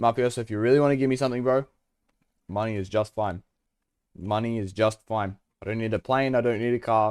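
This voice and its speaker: A man with an Australian accent and a medium pitch speaks at a very fast pace with long, frequent pauses and fairly even intonation. The sound is dry and close with no echo, in a very clean recording with a silent background. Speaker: video game streamer. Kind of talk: casual live-stream chat. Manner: casual, chatty.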